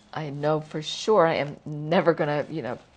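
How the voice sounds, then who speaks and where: A woman with a fairly low pitch and an American accent. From US South. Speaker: talk show host for writers. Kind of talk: interview.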